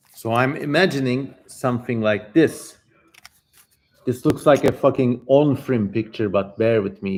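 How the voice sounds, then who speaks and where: A man with a plain, everyday voice, a medium pitch with ordinary pitch variation, and a moderate pace. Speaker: channel host, live streamer reading an ancient text. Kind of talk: casual talk to camera, chatty commentary.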